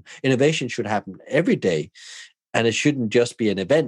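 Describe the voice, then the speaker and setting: In a Danish accent, a man talks very fast with very wide pitch swings, in a dry, close, very clean recording with a silent background and no echo. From southern Denmark. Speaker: hospitality consultant and podcaster. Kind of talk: casual chat.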